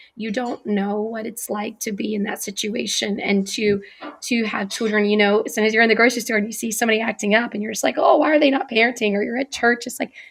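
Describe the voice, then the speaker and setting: Over noticeable background noise, a woman talks at a very fast pace with hardly any pauses. Her voice is fairly high, with fairly even intonation. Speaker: online talk show host. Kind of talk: casual interview.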